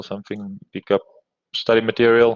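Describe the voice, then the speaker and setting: In a South African accent, a man speaks at a fairly low pitch. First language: Afrikaans. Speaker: university lecturer. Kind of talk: lecture. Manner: hesitant, many fillers.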